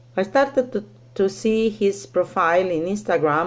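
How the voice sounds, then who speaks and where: A woman speaks at a fairly slow pace with a non-native accent. Her pitch swings very widely. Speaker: teacher, scam victim sharing story. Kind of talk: personal testimony. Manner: halting, many fillers.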